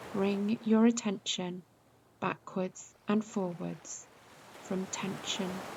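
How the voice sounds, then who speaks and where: A calm, somewhat breathy woman at a very slow pace, with monotone, flat intonation. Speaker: yoga nidra teacher. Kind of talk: guided meditation. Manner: slow, calm.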